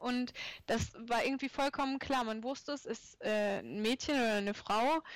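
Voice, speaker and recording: Her voice is high in pitch for a woman, and her intonation stays fairly even. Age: 30s. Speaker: artist and illustrator. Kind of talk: casual chat.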